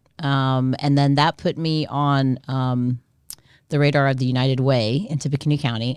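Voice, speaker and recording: On a very clean recording with a silent background, a woman with an American accent and a very deep, low pitch speaks at a moderate pace. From US South, South Florida (Coral Springs). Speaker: nonprofit executive director. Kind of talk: interview.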